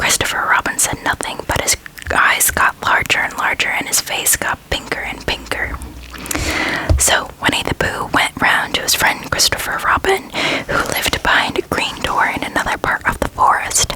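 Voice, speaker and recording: Whispering carries over noticeable background noise. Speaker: ASMR creator. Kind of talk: reading aloud. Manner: slow.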